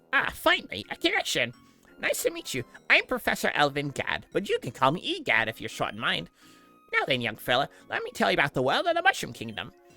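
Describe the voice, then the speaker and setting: Over faint background music, a man races along at a very fast pace in a put-on character voice. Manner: pompous, jokey.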